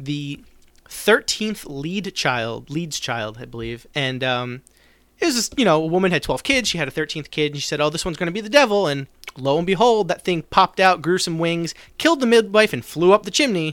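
In a very clean recording with a silent background, a man with an American accent and an unremarkable speaking voice speaks at a moderate pace with a fairly high pitch and lively intonation. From US, South Jersey. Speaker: podcast host. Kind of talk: casual chat.

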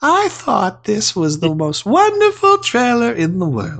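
A put-on character voice with a fairly high pitch. It moves at a fairly slow pace. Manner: effeminate, exaggerated.

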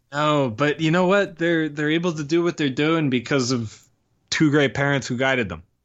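A man with an American accent has a plain, everyday voice, a fairly high pitch and ordinary pitch variation. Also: moderate pace. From Pennsylvania. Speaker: commercial production worker. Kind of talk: casual interview.

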